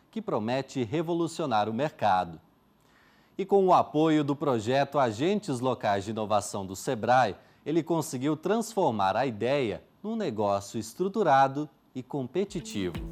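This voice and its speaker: Using very wide pitch swings around a medium pitch, a man speaks at a fairly slow pace. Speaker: TV program host. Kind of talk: TV program introduction.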